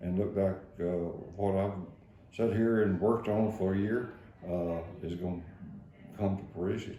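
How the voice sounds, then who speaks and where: A man with an East Texas accent, fairly low in pitch, dark and mellow in tone, monotone and flat, with long, frequent pauses and audible room echo. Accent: East Texas Southern drawl. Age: 70s. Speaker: county judge. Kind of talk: radio interview. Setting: radio studio. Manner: halting, many fillers.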